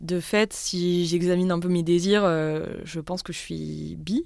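At a fairly slow pace and with fairly even intonation, a woman with fairly low pitch has an ordinary speaking voice in a very clean recording with a silent background. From France, Haute-Savoie. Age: 30s. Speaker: social worker and writer. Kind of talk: casual conversation.

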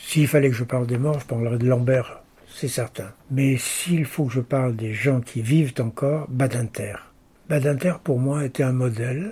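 A somewhat breathy, dark and mellow male voice of medium pitch, fairly slow, with ordinary pitch variation. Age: 80s+. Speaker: lawyer and arbitrator. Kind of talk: interview.

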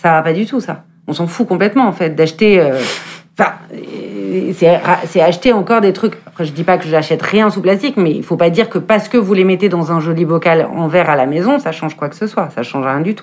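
A woman talks at a fairly quick pace in an unremarkable speaking voice. Her pitch is fairly low, with ordinary variation. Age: 40s. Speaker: fashion journalist and eco-movement co-founder. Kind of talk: casual conversation.

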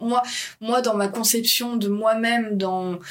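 A woman speaks with ordinary pitch variation, her voice carrying audible room echo. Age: 30s. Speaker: model and comic artist. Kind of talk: casual interview.

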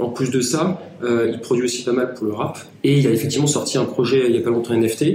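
Amid audible room echo and noticeable background noise, a man with a medium-pitched voice talks very fast. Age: 20s. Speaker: founder of a digital strategy agency. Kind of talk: interview.

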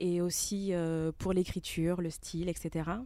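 At a very slow pace, a woman with a fairly low pitch and a dark, mellow tone speaks in a monotone, flat way. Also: very clean recording, silent background. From France, born in Togo. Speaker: podcaster. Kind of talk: live podcast interview.

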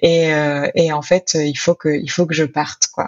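A woman with fairly even intonation. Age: 30s. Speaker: author and sociologist. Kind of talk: interview testimony. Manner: hesitant.

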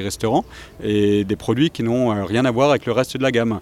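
In a normal speaking voice, a man with a medium pitch talks at a fairly quick pace with ordinary pitch variation. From Alsace, France. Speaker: brewery director. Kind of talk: interview. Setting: outdoors.

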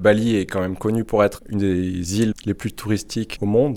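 Monotone and flat in intonation, a man speaks at a moderate pace. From France, Nord-Isère. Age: 20s. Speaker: engineer. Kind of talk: interview testimony.

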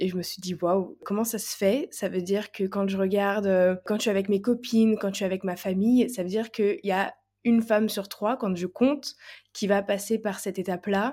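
In a very clean recording with a silent background, a woman with a dark, mellow tone speaks at medium pitch and a moderate pace, her intonation fairly even. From France. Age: 20s. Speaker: holistic coach. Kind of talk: testimony.

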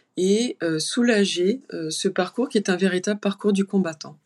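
Against a quiet background, a woman speaks fairly slowly in a dark, mellow tone, her medium pitch moving with ordinary variation. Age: 50s. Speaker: clinical psychologist and family caregiver. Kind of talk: interview testimony. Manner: halting.

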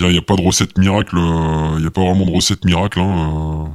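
The man's voice sits very deep and low, delivered in a monotone, flat intonation. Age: 20s. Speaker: police tactical unit officer. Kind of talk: interview. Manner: halting.

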